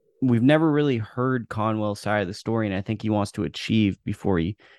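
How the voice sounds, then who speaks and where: A man speaks with an unremarkable speaking voice at a fairly low pitch, with ordinary pitch variation, against a quiet background in a dry, close sound with no echo. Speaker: boxing author. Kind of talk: casual interview. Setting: video call.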